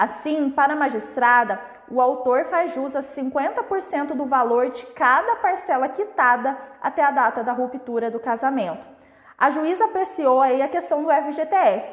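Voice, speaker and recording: With a high pitch and lively intonation, a woman talks at a moderate pace. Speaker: family lawyer. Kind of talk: live stream legal explainer. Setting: live stream.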